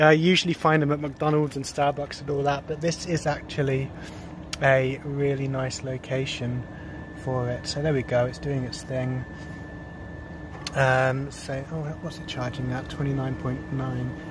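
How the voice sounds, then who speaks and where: With noticeable background noise and a dry sound with no echo, a man talks at a fairly slow pace. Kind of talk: casual vlog chat. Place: street. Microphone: phone near.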